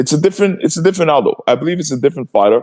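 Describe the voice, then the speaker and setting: Talking at a very fast pace, a man sounds animated, his voice carrying vocal fry. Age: 40s. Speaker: retired MMA fighter and martial arts coach. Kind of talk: casual interview chat. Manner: animated, repetitive and stammering.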